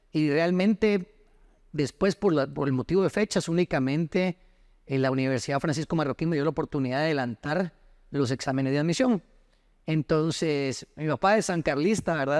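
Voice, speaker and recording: A man with an ordinary speaking voice, fairly high in pitch with ordinary pitch variation, at a moderate pace, in a very clean recording with a silent background and a dry, close sound with no echo. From Costa Rica until ten, then Guatemala. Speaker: lawyer and former footballer. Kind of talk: interview.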